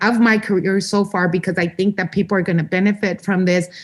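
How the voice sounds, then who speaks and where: A woman speaks with an American accent in an ordinary speaking voice. Her pitch is medium and her pace fairly quick. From Los Angeles, California. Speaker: state legislator. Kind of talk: interview. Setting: podcast.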